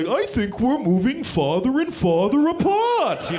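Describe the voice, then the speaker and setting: Someone uses a put-on character voice pitched high, speaking at a fairly slow pace. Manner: mock-sad, wistful.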